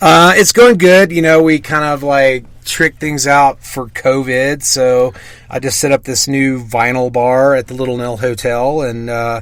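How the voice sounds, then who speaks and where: A man with a slight Southern US accent talks at a fairly slow pace, his medium pitch moving with ordinary variation. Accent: slight Southern twang. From US South, Mississippi. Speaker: DJ. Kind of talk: casual interview.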